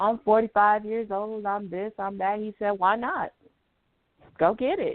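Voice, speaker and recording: Fairly slow and fairly even in intonation, a woman with an American accent speaks in a plain, everyday voice at a fairly high pitch. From Denver, Colorado. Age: 40s. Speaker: author. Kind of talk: radio interview.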